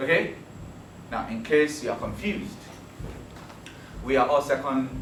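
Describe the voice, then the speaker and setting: Noticeable background noise sits behind a man's voice. The room echo is audible. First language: Yoruba. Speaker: teacher. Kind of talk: lecture. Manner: animated.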